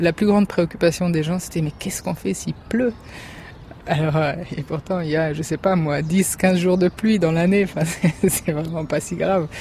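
A woman with a fairly low pitch talks at a moderate pace and fairly even intonation, with noticeable background noise behind her. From France, Germany and Lebanon. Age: young. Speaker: school founder and parent. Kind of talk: interview testimony.

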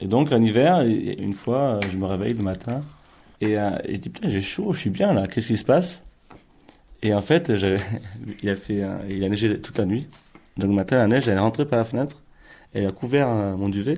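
The voice has a dark, mellow tone and lively intonation, moving at a moderate pace with long, frequent pauses. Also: man, fairly low pitch for a man. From Ariège, southern France. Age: 20s. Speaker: interviewee recalling a rural childhood. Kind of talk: testimony.

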